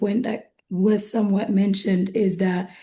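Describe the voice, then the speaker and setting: A somewhat breathy woman with a dark, mellow tone and a fairly slow pace. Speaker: investment firm executive. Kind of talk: webinar panel discussion.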